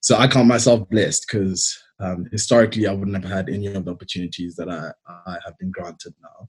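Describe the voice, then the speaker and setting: A man with a South African accent speaks at a very fast pace, somewhat breathy and fairly low in pitch. His intonation is fairly even, but his loudness swings widely. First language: Xitsonga. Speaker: engineer. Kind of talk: presentation talk. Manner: hesitant with fillers.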